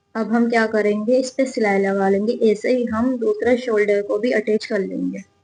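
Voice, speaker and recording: A woman's fairly high, monotone voice with flat intonation and hardly any pauses. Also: very even loudness. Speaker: sewing teacher. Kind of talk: sewing tutorial talk to camera.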